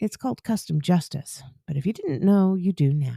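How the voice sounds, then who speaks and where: In a dry, close sound with no echo, a woman with an American accent speaks at a fairly quick pace, somewhat breathy, fairly low in pitch, with a dark, mellow tone and lively intonation. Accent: suppressed Southern twang. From US South, Arkansas. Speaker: podcast host. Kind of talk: interview.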